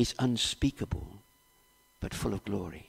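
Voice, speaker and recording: At a fairly slow pace, a man speaks in a fairly low pitch. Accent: South Wales. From Wales, Cardiff area. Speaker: preacher. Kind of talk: sermon.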